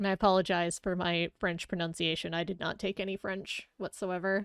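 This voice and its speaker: A woman with an American accent speaks at a fairly quick pace in a monotone, flat intonation. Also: medium pitch for a woman. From US Midwest. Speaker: streamer. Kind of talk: casual chat.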